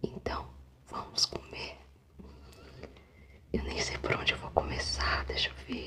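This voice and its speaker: A woman speaks in a whisper. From Brazil. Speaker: ASMR food eater. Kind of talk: casual talk to camera. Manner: soft-spoken, friendly. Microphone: studio mic.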